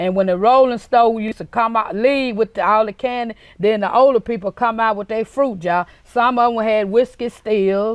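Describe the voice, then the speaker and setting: Recorded with a dry, close sound with no echo and a quiet background, a woman speaks with a Mississippi accent at a moderate pace. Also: fairly high pitch for a woman. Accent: Southern US, Mississippi. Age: 60s. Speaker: interviewee, local actress. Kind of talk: interview.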